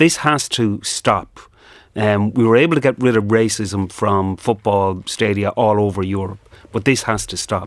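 In an Irish accent, a man talks at a fairly low pitch with ordinary pitch variation. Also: moderate pace. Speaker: trade union official. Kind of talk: radio news interview. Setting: studio.

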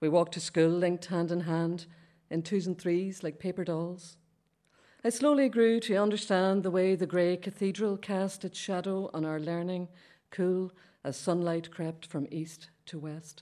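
A woman with a Derry accent speaks at a fairly low pitch, in a dark, mellow tone. Her pace is moderate, her intonation fairly even, and the recording is very clean with a silent background. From Derry, Northern Ireland. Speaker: poet. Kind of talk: reading aloud poetry.

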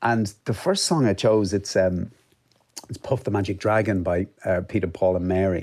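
In an Irish accent, this voice has a dark, mellow tone and fairly even intonation at a moderate pace. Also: man. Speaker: author and journalist. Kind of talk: radio interview.

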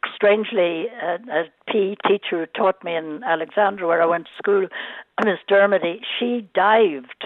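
A woman speaks in an Irish accent at medium pitch. She keeps a moderate pace with ordinary pitch variation. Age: 80s+. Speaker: former Olympian, caller. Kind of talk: casual chat. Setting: phone call.

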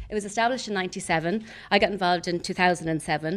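A woman talks at a very fast pace. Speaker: recruitment company managing director. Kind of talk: prepared speech. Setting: stage with live audience.

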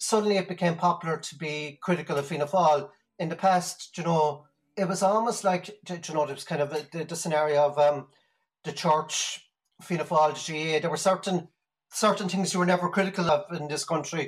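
Speaking at a fairly quick pace with an Irish accent, a man uses a high pitch and fairly even intonation. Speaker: party canvasser. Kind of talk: interview.

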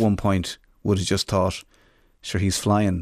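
A man with an Irish accent talks fairly quickly in a fairly low voice. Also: very clean recording, silent background. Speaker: radio presenter and podcast host. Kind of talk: interview about mental health; scripted introduction.

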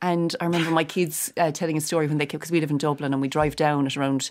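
Speaking at a very fast pace, a woman with a Cork accent has a very deep, low pitch. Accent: Cork Irish. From Ireland, Cork. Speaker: actress and comedian. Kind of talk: casual chat.

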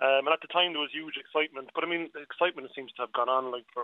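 A man speaks at a very fast pace with a Cork accent. His intonation is monotone and flat. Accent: Cork Irish. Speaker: local historian and councillor. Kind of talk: radio interview.

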